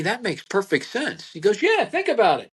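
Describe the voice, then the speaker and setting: A man speaks with a Pennsylvania accent. His pace is moderate. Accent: Pennsylvania American. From Pennsylvania, Berks County. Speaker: butcher. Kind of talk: podcast interview.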